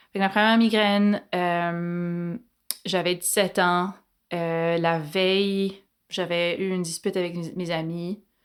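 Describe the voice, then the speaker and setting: A woman with a Quebec accent, fairly low-pitched, at a very slow pace with monotone, flat intonation. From Quebec, Montreal. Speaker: doctor. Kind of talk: interview. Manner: loud; casual, hesitant.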